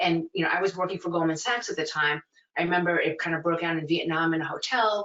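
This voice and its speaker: A woman in a New York accent, fairly low in pitch, with fairly even intonation. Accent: New York American. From New York City (Flushing, Chinatown). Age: 40s. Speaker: museum director. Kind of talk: interview conversation. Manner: smiling while talking.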